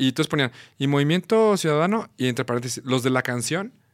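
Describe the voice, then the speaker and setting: A man speaks at a medium pitch. His pitch swings very widely, and the sound is dry and close with no echo. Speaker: musician and composer. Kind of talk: casual chat.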